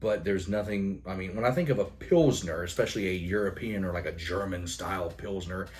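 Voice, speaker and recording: A man mumbles at a fairly quick pace with hardly any pauses, his very deep, low voice somewhat breathy. Intonation stays fairly even, and there is audible room echo. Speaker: beer reviewer. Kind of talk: product review monologue. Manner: mumbling.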